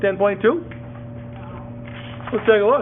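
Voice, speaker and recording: A man's high-pitched voice at a fairly slow pace, with very wide pitch swings, noticeable background noise and audible room echo. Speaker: math teacher. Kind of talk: classroom lesson. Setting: classroom with students.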